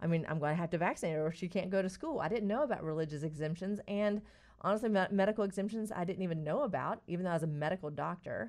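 In a North Carolina accent, a woman with a medium pitch talks very fast with lively intonation. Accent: rural North Carolina Southern. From North Carolina, Stanly County. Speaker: integrative physician. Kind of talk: radio interview.

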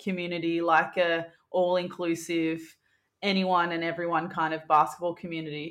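The pace is moderate. The woman talks in an Australian accent. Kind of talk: casual interview chat.

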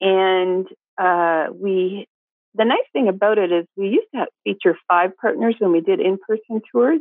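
A woman with an unremarkable speaking voice, medium pitch, ordinary pitch variation, a fairly slow pace and very even loudness. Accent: Canadian. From Atlantic Canada, New Brunswick. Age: 50s. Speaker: food tour business owner and cookbook author. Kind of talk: casual interview.

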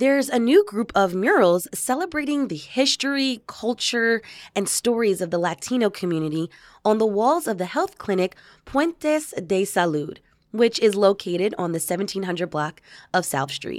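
At a moderate pace, the voice swings very widely in pitch on a very clean recording with a silent background. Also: woman, medium pitch for a woman. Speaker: podcast host. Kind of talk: interview. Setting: radio studio.

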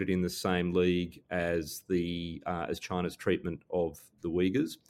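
A man with an Australian accent talks at a fairly slow pace, his pitch very deep and low. The recording is very clean, with a silent background. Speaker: security scholar and former diplomat. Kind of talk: interview.

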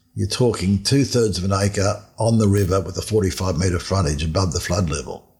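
Speaking at a fairly quick pace with hardly any pauses, a man with an Australian accent has a very deep, low pitch and ordinary pitch variation. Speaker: finance author. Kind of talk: interview.

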